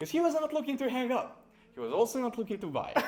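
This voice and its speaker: Noticeable background noise sits behind a man speaking with a Serbian accent. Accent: Serbian accent, sometimes taken for Russian. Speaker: sales agency founder. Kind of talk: casual chat. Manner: casual, peppered with like and bro.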